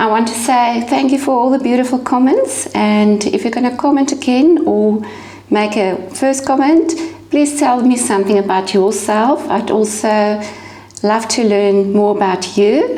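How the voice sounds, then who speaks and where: With a South African accent, a woman speaks at a fairly slow pace and fairly high pitch, her loudness very even and her pitch variation ordinary, amid audible room echo and noticeable background noise. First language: Afrikaans. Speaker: glass artist. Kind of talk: tutorial. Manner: casual, occasional stumbles.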